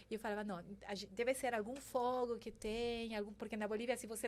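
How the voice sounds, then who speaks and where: At a very fast pace, a woman speaks in a Spanish accent with a fairly high pitch and monotone, flat intonation. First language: Spanish (speaking Portuguese). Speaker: banking sustainability executive. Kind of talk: interview podcast. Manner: halting, with many fillers.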